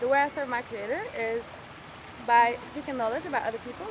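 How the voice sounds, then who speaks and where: A woman with a non-native accent, high-pitched and very fast, with ordinary pitch variation and noticeable background noise. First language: not English. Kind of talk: heated debate. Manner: halting.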